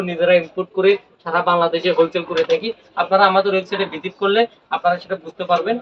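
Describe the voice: Talking very fast, a man speaks in a high voice that moves little in pitch.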